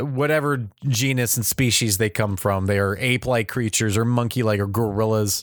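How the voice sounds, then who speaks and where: At a moderate pace and with hardly any pauses, a man with a medium-pitched, normal speaking voice keeps very even loudness in a very clean recording with a silent background. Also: fairly even intonation. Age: 30s. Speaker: video game advice podcast host. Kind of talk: casual solo monologue.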